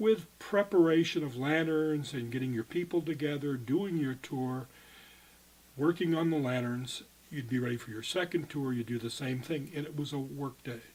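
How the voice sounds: A man's fairly high voice, slightly mellow with a slightly husky edge and ordinary pitch variation. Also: moderate pace.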